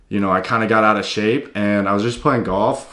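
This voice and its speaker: A plain, everyday voice with an American accent, at a moderate pace against a quiet background. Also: man. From US South, Tennessee. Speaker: fitness YouTuber. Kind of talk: casual vlog talk.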